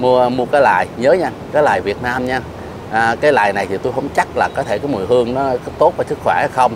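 A man with a Southern Vietnamese accent at a fairly quick pace, ordinary pitch variation, dry sound with no echo and noticeable background noise. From Southern Vietnam, Ho Chi Minh City. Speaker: bonsai vlogger. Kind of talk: casual chat. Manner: hesitant with many fillers. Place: garden. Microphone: lapel.

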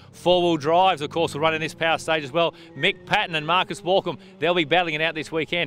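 Over light background noise with a dry sound and no echo, a man with an Australian accent talks at a very fast pace, his fairly high pitch carrying an upbeat, bright, sharp tone. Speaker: rally commentator. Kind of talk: live race commentary. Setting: outdoors at the stage start line. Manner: brisk, upbeat broadcaster delivery. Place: forest. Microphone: handheld.

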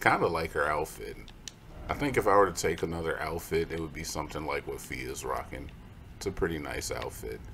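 A man speaks at a fairly quick pace while noticeable noise runs in the background. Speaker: gaming video commentator. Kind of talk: live gameplay commentary. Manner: jokey.

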